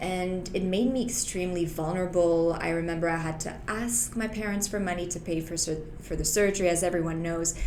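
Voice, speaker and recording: Speaking at a fairly quick pace with hardly any pauses, a woman with a French-Canadian accent uses a fairly low pitch and fairly even intonation amid noticeable background noise and audible room echo. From Quebec, Canada (Montreal). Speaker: health insurance broker and former lawyer. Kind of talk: interview.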